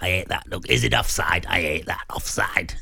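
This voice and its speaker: A man performs a put-on character voice. His pace is moderate. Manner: scary, menacing.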